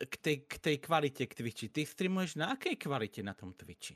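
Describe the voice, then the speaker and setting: A man with a fairly high pitch swings very widely in pitch, with vocal fry in his voice. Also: dry, close sound with no echo. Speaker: podcast host and streamer. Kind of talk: casual chat. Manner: halting, stuttering repetitions.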